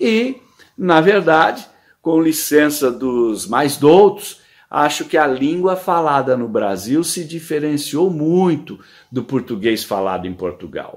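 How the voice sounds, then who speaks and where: At a very slow pace, a man speaks with a fairly high pitch. His voice swings very widely in pitch. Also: quiet background. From Brazil. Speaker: columnist. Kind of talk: scripted narration. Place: home room. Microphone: phone near.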